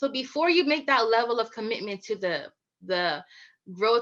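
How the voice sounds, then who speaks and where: Against a quiet background, a woman with a slight West Indian accent speaks in a bright, sharp tone at a fairly high pitch, her intonation lively. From Virgin Islands. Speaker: business consultant and keynote speaker. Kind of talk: keynote speech. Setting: conference keynote.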